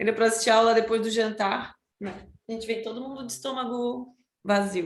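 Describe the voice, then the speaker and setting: A woman speaks at a fairly high pitch with fairly even intonation. Her loudness swings a lot. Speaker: study group member presenting lesson. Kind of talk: study group class.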